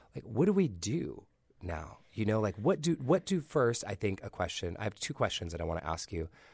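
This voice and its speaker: A somewhat breathy male voice at a fairly quick pace with very wide pitch swings, on a very clean recording with a silent background. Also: fairly low pitch for a man. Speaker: podcast host. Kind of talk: podcast interview.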